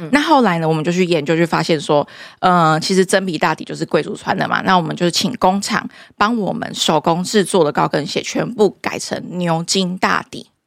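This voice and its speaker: A woman speaks in a normal speaking voice, fairly low-pitched with ordinary pitch variation, at a fairly quick pace. The recording is very clean, with a silent background. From Taiwan, Kaohsiung. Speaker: high-heel brand founder. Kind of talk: casual interview.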